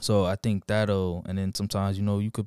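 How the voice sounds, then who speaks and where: A dark, mellow voice moves at a fairly quick pace, the sound dry and close with no echo, on a very clean recording with a silent background. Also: man. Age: 20s. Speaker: podcast co-host. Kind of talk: casual chat. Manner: animated.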